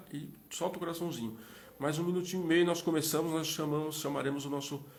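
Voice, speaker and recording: A man at a fairly high pitch with fairly even intonation and a very fast pace, with audible room echo. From Minas Gerais, Brazil. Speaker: live interview host. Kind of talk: live stream chat. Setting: Instagram live.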